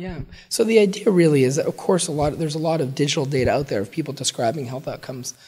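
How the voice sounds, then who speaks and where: The man's delivery is very fast. His intonation stays lively. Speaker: public health researcher, associate professor. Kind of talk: interview answer.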